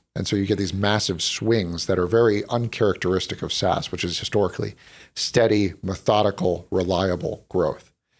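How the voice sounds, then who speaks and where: This is an ordinary speaking voice: a man with an American accent, fairly low pitch and fairly even intonation, at a moderate pace. The recording is very clean, with a silent background. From North Carolina. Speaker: tech company co-founder and executive. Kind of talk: interview.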